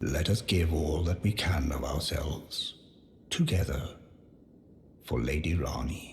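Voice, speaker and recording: Using a put-on character voice with a very deep, low pitch, a man speaks at a fairly slow pace with long, frequent pauses, and the sound carries a clear echo. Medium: video game. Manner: earnest, devoted.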